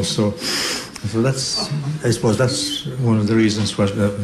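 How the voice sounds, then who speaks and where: With a West Cork accent, a man speaks at medium pitch amid noticeable background noise and audible room echo. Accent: West Cork Irish. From Ireland, West Cork (Beara Peninsula). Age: 70s. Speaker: traditional fiddle player and composer. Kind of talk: radio interview. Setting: hotel broadcast. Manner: halting.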